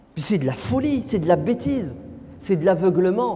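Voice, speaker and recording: With audible room echo, a man speaks at high pitch and a moderate pace, his pitch swinging very widely. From France. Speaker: preacher. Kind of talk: lecture. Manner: animated.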